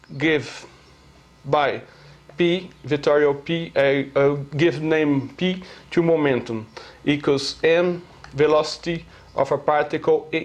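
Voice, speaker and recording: A man with a Brazilian Portuguese accent speaks very slowly, at a fairly high pitch, with fairly even intonation. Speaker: amateur physics theorist. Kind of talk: lecture. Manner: halting, many fillers.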